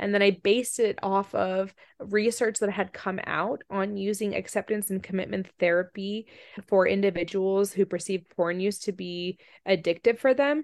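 Using an ordinary speaking voice, a woman with an American accent speaks at a moderate pace with a quiet background. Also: medium pitch for a woman. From Virginia/DC area, US, and Russia. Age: 30s. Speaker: researcher. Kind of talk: interview.

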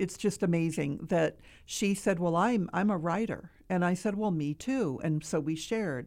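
Over a very clean recording and silent background, a woman speaks with a fairly low pitch, a dark, mellow tone and ordinary pitch variation. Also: moderate pace. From upstate New York. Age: 60s. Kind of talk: interview testimony. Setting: studio.

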